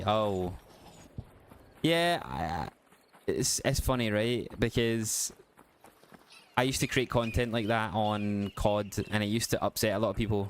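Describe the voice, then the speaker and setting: A man with a Glasgow accent talks at a moderate pace. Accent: west of Scotland (Glasgow area). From Scotland, west of Glasgow. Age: 30s. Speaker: gaming live streamer. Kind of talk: casual live-stream chat.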